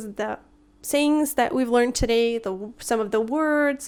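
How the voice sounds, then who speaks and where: A woman speaks with a Russian accent at a high pitch. Her pace is fairly slow, and her pitch varies in an ordinary way. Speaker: language teacher YouTuber. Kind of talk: tutorial.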